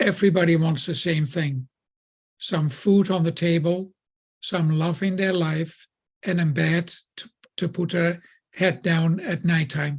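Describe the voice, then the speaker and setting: A man with a Dutch accent speaks at a high pitch and a fairly slow pace, his intonation fairly even and broken by long, frequent pauses. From Netherlands. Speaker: building contractor. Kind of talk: podcast guest talk.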